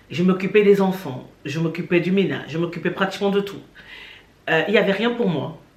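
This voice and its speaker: Over noticeable background noise and audible room echo, a woman with a medium pitch talks at a fairly quick pace, her pitch varying in an ordinary way. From Cameroon. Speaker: YouTuber. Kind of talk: testimony.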